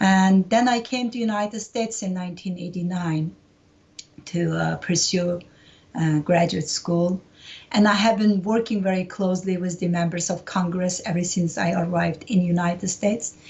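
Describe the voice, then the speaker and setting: A woman speaks at a medium pitch and a moderate pace, with a somewhat breathy voice. Her intonation stays fairly even, and she has a Uyghur accent. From East Turkestan (Xinjiang), Urumqi. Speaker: human rights activist. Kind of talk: interview. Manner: frequent hesitations (uh, um).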